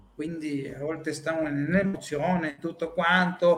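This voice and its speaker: A man with a Spanish accent, with music in the background. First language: Spanish (speaking Italian). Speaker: psychologist. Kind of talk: talk.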